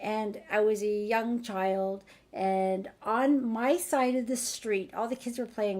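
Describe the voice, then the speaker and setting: Her pitch shows ordinary variation. The speaker is a woman with a medium-pitched voice. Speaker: EFT energy healing practitioner. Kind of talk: live-streamed group healing call. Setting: livestream with chat. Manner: animated.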